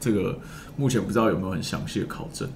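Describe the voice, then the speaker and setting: The speaker's tone is animated against noticeable background noise. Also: man. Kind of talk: casual podcast conversation. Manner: animated, talkative.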